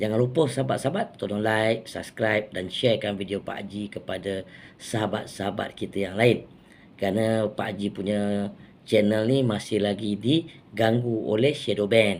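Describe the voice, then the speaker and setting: A man with a Malaysian accent speaks at a moderate pace in a fairly low voice with ordinary pitch variation. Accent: Malaysian Malay. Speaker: political commentator vlogger. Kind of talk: angry rant. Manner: indignant, sarcastic, scolding; rhetorical, mocking, emphatic.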